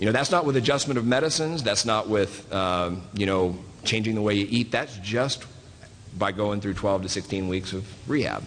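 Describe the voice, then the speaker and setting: Here is a man with a Southern US accent and a fairly low pitch. He keeps a moderate pace and ordinary pitch variation. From US South (Southeast). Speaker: physician. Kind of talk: panel talk. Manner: halting, many fillers.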